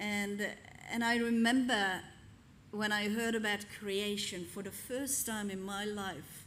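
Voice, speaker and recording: A woman's medium-pitched voice with a non-native accent, very slow pace, fairly even intonation and audible room echo. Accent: foreign. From Hungary. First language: Hungarian. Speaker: pastor. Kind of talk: sermon. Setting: church.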